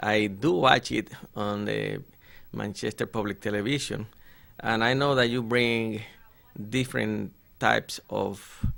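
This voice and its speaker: In a Spanish accent, a man talks fairly slowly at a medium pitch. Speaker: politician. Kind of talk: interview. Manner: formal.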